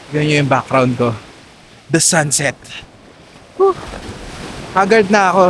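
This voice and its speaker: A man speaks in an animated tone over noticeable background noise. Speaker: travel vlogger. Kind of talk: casual vlog narration. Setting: outdoors on a beach. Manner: loud. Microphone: no mic, camera mic only.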